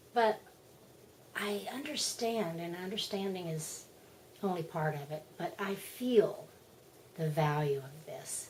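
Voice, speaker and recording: A woman's very slow, medium-pitched voice with lively intonation, big swings in loudness and long, frequent pauses, amid audible room echo and noticeable background noise. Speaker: spiritual vlogger. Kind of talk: casual monologue. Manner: animated.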